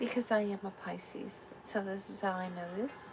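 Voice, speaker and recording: A soft-spoken woman talks at a fairly slow pace. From Texas. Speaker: tarot reader. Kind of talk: live tarot reading. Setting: livestream.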